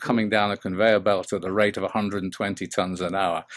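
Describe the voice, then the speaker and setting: A British accent marks this man's speech. His voice sits fairly low. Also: very clean recording, silent background. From English Midlands, England. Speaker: business coach. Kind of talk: interview. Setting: podcast. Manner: hesitant, many fillers.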